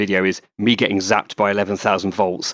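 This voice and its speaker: With a British accent, a man speaks at a fairly low pitch and a fairly quick pace in a dry, close sound with no echo. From England. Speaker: paramotor pilot and YouTuber. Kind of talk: casual interview chat.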